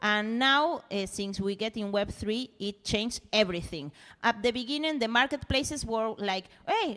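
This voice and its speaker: With a Spanish accent, a woman talks in a fairly high, bright, sharp voice with lively intonation. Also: moderate pace. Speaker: musician. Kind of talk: casual chat. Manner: halting, searching for words.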